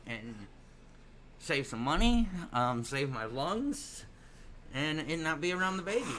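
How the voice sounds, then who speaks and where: With audible room echo, a man speaks at a very slow pace in a bright, sharp tone with lively intonation. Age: 20s. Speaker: gaming livestreamer. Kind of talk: casual livestream commentary. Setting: livestream.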